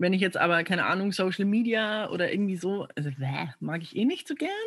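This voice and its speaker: The intonation is lively and the voice somewhat breathy. The background is quiet. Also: woman. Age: 20s. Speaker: coaching client, coach. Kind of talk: coaching session. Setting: video call.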